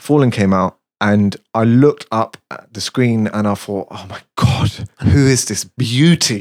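A man with a normal speaking voice, medium pitch, ordinary pitch variation, a fairly slow pace and big swings in loudness, recorded dry and close with no echo. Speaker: music producer. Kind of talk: casual chat.

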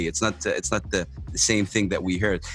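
A man speaks in an animated tone with an Arabic accent. Music plays in the background. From Saudi Arabia. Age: 40s. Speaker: podcast host. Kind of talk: casual interview. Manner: halting with fillers.

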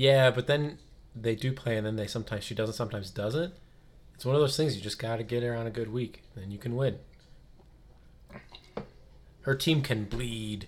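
A man's raspy, put-on character voice at medium pitch and moderate pace, with long, frequent pauses. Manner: passionate.

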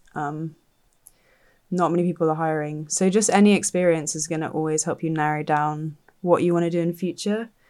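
In a southern English accent, the speaker talks at a fairly quick pace with fairly even intonation and a dark, mellow tone on a very clean recording with a silent background. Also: woman, fairly low pitch for a woman. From southern England (Dorset). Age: 20s. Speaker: think tank researcher. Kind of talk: casual interview.

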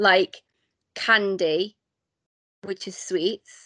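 Against a quiet background, a woman speaks at a very slow pace in a medium pitch, the sound dry and close with no echo. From Isle of Man. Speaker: podcast guest.

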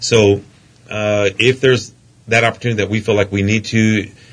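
A man talks very fast in a fairly low, somewhat breathy voice. His intonation stays fairly even. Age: 50s. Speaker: politician. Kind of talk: interview. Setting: studio.

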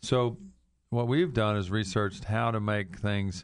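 A man with an unremarkable speaking voice talks at a moderate pace, fairly low in pitch, with fairly even intonation. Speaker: dentist, show host. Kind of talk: radio interview.

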